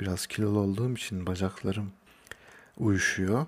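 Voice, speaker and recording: A man with an ordinary speaking voice at a fairly low pitch, fairly slow in pace and fairly even in intonation. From Turkey, Kayseri (Hacılar). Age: 20s. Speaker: podcaster. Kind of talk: solo monologue podcast. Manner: casual, with laughs.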